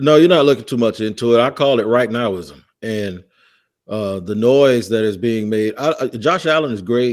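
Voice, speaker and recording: Against a silent background on a very clean recording, a man with an American accent uses a plain, everyday voice at medium pitch, with ordinary pitch variation and a moderate pace. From Florida. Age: 50s. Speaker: football podcast host. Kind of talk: casual chat.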